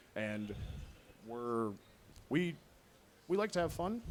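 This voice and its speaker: His pitch is medium. The speaker is a man. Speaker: podcaster. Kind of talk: convention panel talk. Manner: loud.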